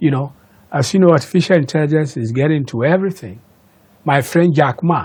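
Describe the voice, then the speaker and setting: Speaking at a fairly quick pace, this man has a fairly high, somewhat breathy voice. His pitch varies in an ordinary way. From Ghana. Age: 70s. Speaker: inventor. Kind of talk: interview. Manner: animated.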